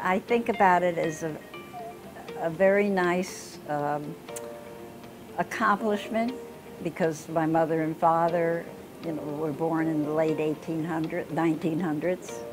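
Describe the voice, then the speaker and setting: With an American accent, a woman with a fairly low voice speaks at a fairly slow pace, with ordinary pitch variation, long and frequent pauses, and clear music in the background. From Florida. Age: 80s+. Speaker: university graduate; interviewee. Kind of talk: interview. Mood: warm, reflective. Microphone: lapel.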